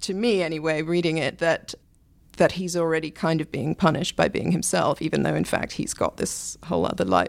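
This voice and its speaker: Speaking with an English accent, a woman has a fairly low pitch and vocal fry at a fairly quick pace. The recording is very clean, with a silent background. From England. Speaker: books columnist. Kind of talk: casual chat.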